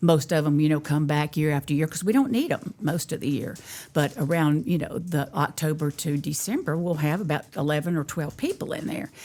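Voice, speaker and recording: With a Southern accent, a woman speaks in a dark, mellow tone at a very deep, low pitch, moving at a fairly quick pace with hardly any pauses and ordinary pitch variation. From North Carolina, Davidson County. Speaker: family bakery owner. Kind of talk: casual chat.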